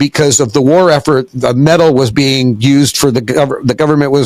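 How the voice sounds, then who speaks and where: A man with an American accent is recorded with a dry, close sound and no echo, though background noise is noticeable. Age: 70s. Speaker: entrepreneur. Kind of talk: interview.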